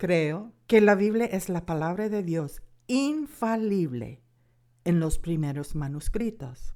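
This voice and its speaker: A woman with an American accent, fairly low in pitch with very wide pitch swings and a dark, mellow tone, at a very slow pace. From United States. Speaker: Bible course instructor and author. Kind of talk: lecture.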